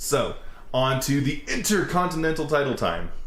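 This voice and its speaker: Audible room echo surrounds a man speaking in an animated tone. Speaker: wrestling reaction video host. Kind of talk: casual chat. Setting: outdoors. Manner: loud.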